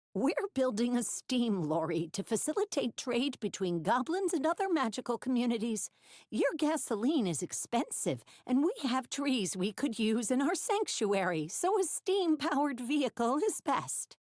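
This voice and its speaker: A put-on character voice that sounds female, high in pitch with very wide pitch swings, moves at a moderate pace on a very clean recording with a silent background. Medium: read story.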